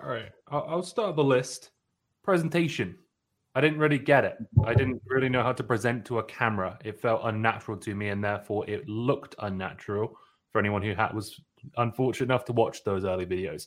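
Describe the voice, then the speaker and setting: At a fairly quick pace, a man with a plain, everyday voice speaks at a medium pitch with lively intonation, in a very clean recording with a silent background. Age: 20s. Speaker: comedy content creator in sales. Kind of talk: casual interview chat.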